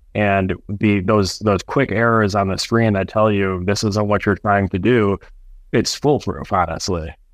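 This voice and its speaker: A man with an unremarkable speaking voice talks at a fairly slow pace, his pitch fairly low. His intonation is fairly even and his loudness very even. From Metro Detroit, Michigan. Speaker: cannabis farm manager. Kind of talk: interview.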